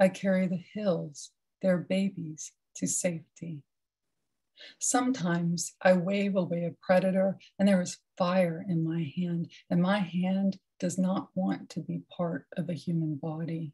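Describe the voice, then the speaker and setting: With a dark, mellow tone, a woman speaks in a somewhat breathy, fairly low voice, keeping her intonation fairly even and her pace fairly slow. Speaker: poet. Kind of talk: poetry reading.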